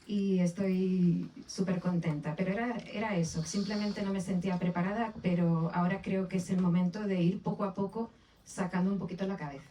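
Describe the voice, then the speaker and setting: A woman speaks in a Canarian accent at a medium pitch. She hardly pauses at all. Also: fairly even intonation, moderate pace. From Canary Islands (Las Palmas de Gran Canaria). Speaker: author. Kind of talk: book presentation interview. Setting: bookshop event with audience. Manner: hesitant, with fillers and repetitions.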